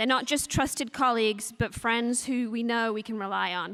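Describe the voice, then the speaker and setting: In a strong English accent, a woman speaks at a moderate pace with a fairly high pitch, fairly even intonation and a bright, sharp tone, on a very clean recording with a silent background. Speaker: nonprofit deputy director. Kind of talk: speech at a luncheon.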